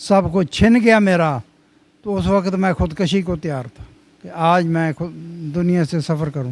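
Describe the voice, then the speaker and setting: A man talks at a high pitch that varies in an ordinary way. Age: old. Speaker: old age home resident. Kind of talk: interview answer.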